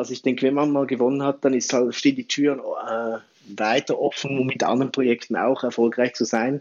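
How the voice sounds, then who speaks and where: With a normal speaking voice, a man talks at a fairly quick pace and a medium pitch. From Switzerland. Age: 40s. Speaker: campaign platform founder. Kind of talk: interview.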